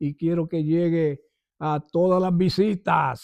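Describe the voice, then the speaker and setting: In a quiet setting, a man with a high pitch and a dark, mellow tone speaks with ordinary pitch variation, the sound dry and close with no echo. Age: 70s. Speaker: church elder. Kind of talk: testimony.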